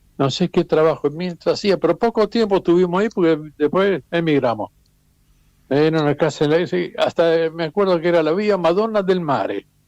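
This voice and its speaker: Recorded dry and close with no echo, a man speaks in a high voice at a moderate pace, with ordinary pitch variation and very even loudness. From Istria / Trieste region, Italy, raised in Buenos Aires from age ten. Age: 80s+. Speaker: immigrant interviewee. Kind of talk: interview, personal recollection. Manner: halting with repetitions.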